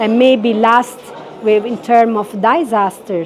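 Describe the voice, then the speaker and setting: Noticeable background noise behind a woman's fairly slow delivery. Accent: Italian. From Italy. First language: Italian. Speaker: head of a UN cultural office. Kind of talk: interview. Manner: halting, many fillers.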